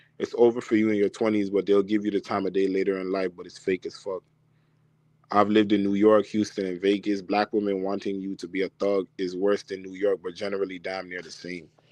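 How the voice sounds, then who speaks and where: A man talks at a fairly quick pace in a fairly low pitch, his loudness swinging widely. The sound is dry and close, with no echo. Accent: Toronto. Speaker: dating advice streamer. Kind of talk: live stream Q&A. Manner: casual, animated.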